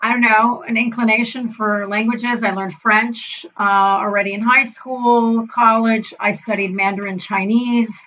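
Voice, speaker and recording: Delivered in an unremarkable speaking voice, the speech keeps a moderate pace with fairly even intonation and hardly any pauses. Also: woman, fairly high pitch for a woman. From US, child of German immigrants. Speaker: advertising association executive. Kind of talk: casual interview chat.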